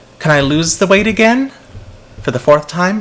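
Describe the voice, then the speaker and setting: Amid noticeable background noise, a man speaks with lively intonation. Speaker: vlogger. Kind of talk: personal vlog monologue.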